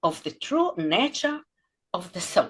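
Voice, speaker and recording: A woman speaks at a fairly slow pace with an Israeli accent. Her pitch swings very widely. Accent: Israeli Hebrew accent in English. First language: Hebrew. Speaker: podcast host. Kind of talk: interview intro. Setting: video call.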